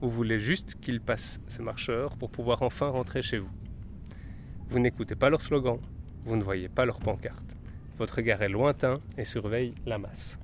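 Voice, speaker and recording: A man at medium pitch and moderate pace, ordinary pitch variation, long, frequent pauses. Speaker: workshop facilitator. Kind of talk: giving instructions for a role-play.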